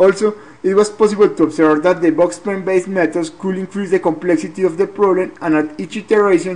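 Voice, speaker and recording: Someone with a non-native accent talks at a very fast pace. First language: not English. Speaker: graduate student. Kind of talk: research presentation. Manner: halting, repeats words.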